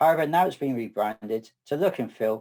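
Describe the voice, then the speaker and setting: Here is a man with a southwest English accent. The recording is very clean, with a silent background. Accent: English (southwest UK). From southwest England. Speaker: data architect and conference speaker. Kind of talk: technical presentation.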